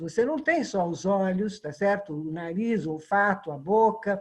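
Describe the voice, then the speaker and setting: Somewhat breathy at medium pitch, a woman talks at a moderate pace with lively intonation. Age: 70s. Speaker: tai chi student. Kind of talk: group discussion.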